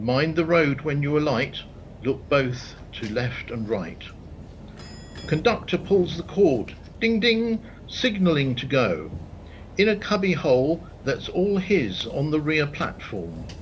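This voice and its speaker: A man speaks at a very slow pace, leaving long, frequent pauses. His somewhat breathy voice sits fairly high and moves in very wide pitch swings. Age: 60s. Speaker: poet. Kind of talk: poetry reading.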